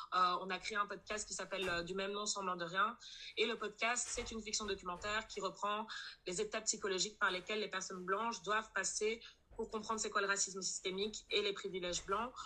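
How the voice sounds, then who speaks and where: Her tone bright and sharp, a woman speaks at a fairly quick pace with a medium pitch and monotone, flat intonation. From Belgium, Brussels. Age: 20s. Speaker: anti-racism activist. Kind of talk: testimony.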